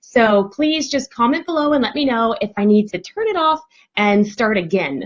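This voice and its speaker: A somewhat breathy woman talks at a fairly quick pace with very wide pitch swings. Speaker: parenting coach. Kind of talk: live stream talk. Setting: home live video stream. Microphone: dodgy connection.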